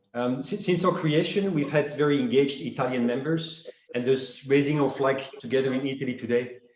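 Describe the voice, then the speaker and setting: Ordinary pitch variation amid audible room echo. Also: man. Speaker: secretary general of a finance advocacy association. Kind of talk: welcome address at web conference. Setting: online web conference.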